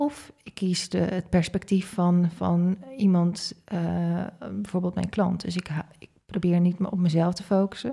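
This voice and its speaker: Against a quiet background, a woman speaks at a fairly slow pace in a medium pitch, her tone dark, mellow and somewhat breathy. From Netherlands, Groningen; Netherlands. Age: 30s. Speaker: leadership coach and entrepreneur; leadership coach. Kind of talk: interview conversation. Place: studio. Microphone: studio mic.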